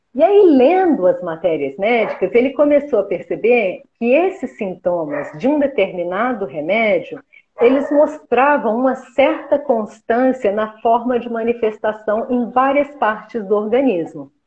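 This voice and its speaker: At a fairly slow pace, a woman talks in a high pitch that swings very widely. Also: hardly any pauses. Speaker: homeopathic therapist and teacher. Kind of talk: live interview, explanatory chat. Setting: live stream video call.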